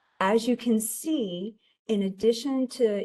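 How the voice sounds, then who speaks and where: Somewhat breathy female speech at a very slow pace, with ordinary pitch variation and a quiet background. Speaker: tax agency presenter. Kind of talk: webinar presentation. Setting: online webinar.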